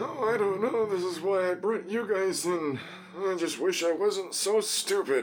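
A man with a high pitch speaks at a moderate pace while faint music plays in the background. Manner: earnest, simple.

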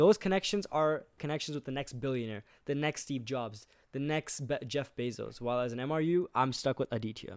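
The man's pitch is fairly high, with ordinary variation, in a normal speaking voice. He talks at a fairly quick pace, and the sound is dry and close with no echo. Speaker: university engineering student. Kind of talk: casual chat.

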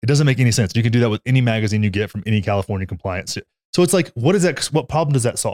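A man with a Texan accent talks at a very fast pace and medium pitch, his intonation lively. The recording is very clean, with a silent background. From Texas. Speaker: podcast co-host. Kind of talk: casual chat. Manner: loud; animated.

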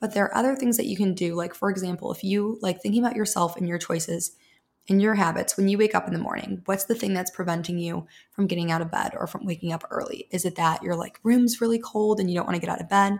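Speaking at a very fast pace, a woman with an American accent has a somewhat breathy, medium-pitched voice. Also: ordinary pitch variation. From US Midwest. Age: 20s. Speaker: habit and routine coach. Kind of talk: casual chat.

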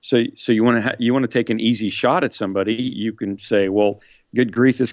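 This unremarkable speaking voice moves at a fairly quick pace with fairly even intonation. The background is quiet. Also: man. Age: 50s. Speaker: megachurch pastor. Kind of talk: interview conversation.

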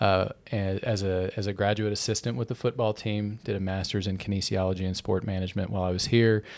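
A man with an American accent speaks very fast at a fairly low pitch with monotone, flat intonation, in a very clean recording with a silent background. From Texas. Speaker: podcast producer. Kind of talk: casual chat.

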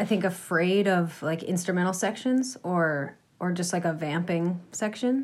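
In an American accent, a woman uses an unremarkable speaking voice with ordinary pitch variation. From Massachusetts, US. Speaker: folk musician, cellist and singer. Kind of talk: casual interview.

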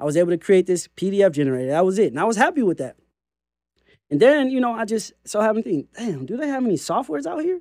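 Very fast speech in a Californian accent swings very widely in pitch, recorded very cleanly, dry and close, with a silent background and no echo. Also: man, high pitch for a man. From California, Compton. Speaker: credit repair software founder. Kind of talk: software walkthrough and interview. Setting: studio with camera.

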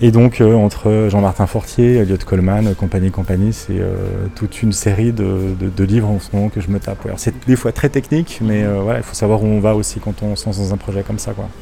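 Noticeable noise sits behind a man's fairly low voice. He talks at a fairly quick pace with fairly even intonation and hardly any pauses. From Switzerland, Lausanne area. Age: 30s. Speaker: bookshop customer on holiday. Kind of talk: casual interview. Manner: halting, with repetitions and fillers.

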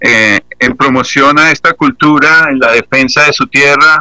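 A man talks at a very slow pace. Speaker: band founder and musician. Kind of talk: radio interview.

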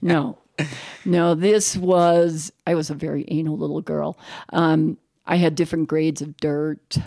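A woman with an American accent speaks at a fairly slow pace, her very deep, low pitch and dark, mellow tone on a very clean recording with a silent background. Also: fairly even intonation, dry, close sound with no echo. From New York City. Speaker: chocolate shop owner. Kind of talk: casual chat. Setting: in her shop.

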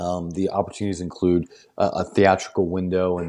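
A man with an American accent talks at a very fast pace against a quiet background. His pitch is very deep and low, and his tone dark and mellow. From US Midwest/South (St. Louis area). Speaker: film director and producer. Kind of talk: casual interview.

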